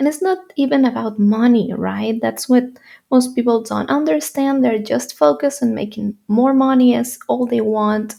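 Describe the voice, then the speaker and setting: Lively in intonation, a woman with a Spanish accent speaks at a moderate pace, her fairly high pitch carrying a dark, mellow tone. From Spain, Madrid. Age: 20s. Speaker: YouTuber and entrepreneur. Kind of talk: personal story vlog. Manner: halting.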